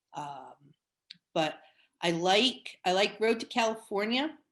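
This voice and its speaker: In a New York accent, a woman talks at a fairly slow pace with ordinary pitch variation. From New Jersey. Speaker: quilting teacher. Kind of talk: interview. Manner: animated.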